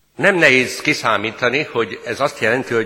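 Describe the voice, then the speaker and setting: A man's bright, sharp tone with lively intonation. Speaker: pastor. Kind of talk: sermon. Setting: church.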